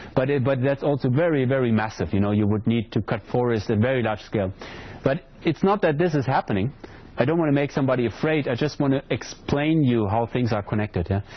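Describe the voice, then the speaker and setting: A man speaks at medium pitch with a non-native accent and lively intonation. His pace is very fast, with noticeable background noise. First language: not English. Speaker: hydrology lecturer. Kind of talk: lecture Q&A. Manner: hesitant, repeats words.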